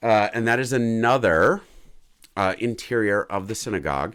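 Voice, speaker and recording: A man at medium pitch and moderate pace, an unremarkable speaking voice on a very clean recording with a silent background. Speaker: pastor. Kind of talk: casual Bible history teaching on a livestream.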